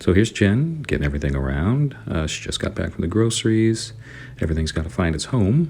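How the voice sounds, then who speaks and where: Over noticeable background noise, a man speaks very fast at a fairly low pitch with very wide pitch swings. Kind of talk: relaxed voiceover narration of a cleaning video.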